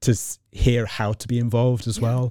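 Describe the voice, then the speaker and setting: Dark, mellow tones from a man, captured on a very clean recording against a silent background. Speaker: nonprofit executive director. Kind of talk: interview. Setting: studio.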